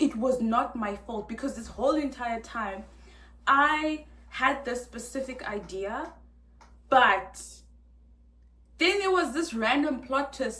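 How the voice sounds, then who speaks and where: A loud, high-pitched woman's voice with audible room echo. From South Africa. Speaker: vlogger. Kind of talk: casual storytime rant. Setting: hotel room. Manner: animated.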